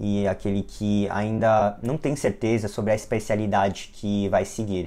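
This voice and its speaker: The tone is dark and mellow. Delivery comes at a fairly slow pace with fairly even intonation. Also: man, fairly low pitch for a man. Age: 20s. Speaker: physician and lecturer. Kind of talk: lecture.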